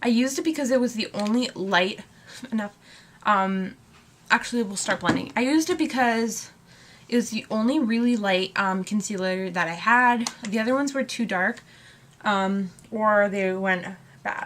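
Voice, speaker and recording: This woman has an unremarkable speaking voice, a fairly high pitch, ordinary pitch variation and a moderate pace. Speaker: beauty youtuber. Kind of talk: makeup tutorial.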